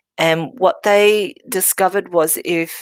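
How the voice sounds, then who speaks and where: Lively in intonation, a woman's fairly low-pitched voice comes through in a dry, close sound with no echo. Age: 60s. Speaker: medical intuitive, healer. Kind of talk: workshop talk. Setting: workshop with audience. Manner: halting.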